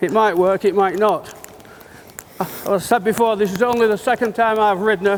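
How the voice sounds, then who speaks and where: Over noticeable background noise, a man with a high voice talks at a fairly quick pace and very even loudness. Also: fairly even intonation. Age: 60s. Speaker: horse riding trainer. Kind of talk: live riding demonstration.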